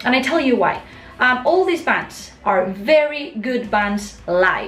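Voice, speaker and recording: A high-pitched woman with a Spanish accent, with noticeable background noise and audible room echo. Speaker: YouTuber, metal music commentator. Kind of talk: casual vlog monologue. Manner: halting, with fillers.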